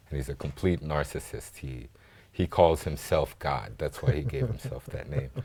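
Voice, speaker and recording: A man with an American accent speaks in a very deep, low pitch. His tone is dark and mellow, with vocal fry. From grew up in Africa, American schools, half American half Congolese. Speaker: filmmaker. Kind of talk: TV interview. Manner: conversational with fillers.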